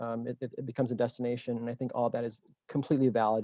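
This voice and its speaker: A man of medium pitch, very fast and monotone, with flat intonation. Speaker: business founder giving public comment. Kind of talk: public comment at council meeting. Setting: video call. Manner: halting, many fillers.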